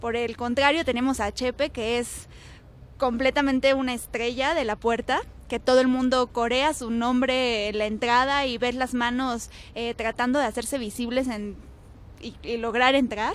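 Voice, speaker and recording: A woman talks at a fairly slow pace in a high pitch. The recording is very clean, with a silent background. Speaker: reporter. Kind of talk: casual chat.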